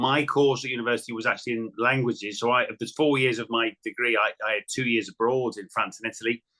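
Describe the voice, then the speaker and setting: A man's medium-pitched, bright, sharp voice at a very fast pace, monotone and flat, with hardly any pauses and a dry, close sound free of echo. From northern England, Wirral near Liverpool. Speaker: sports broadcaster. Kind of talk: casual interview chat. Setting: podcast.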